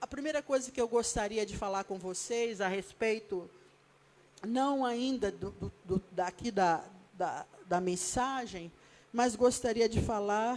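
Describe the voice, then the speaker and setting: A woman with a fairly high pitch speaks very slowly, using ordinary pitch variation. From Brazil, Rio de Janeiro. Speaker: evangelist, guest preacher. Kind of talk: sermon. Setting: church.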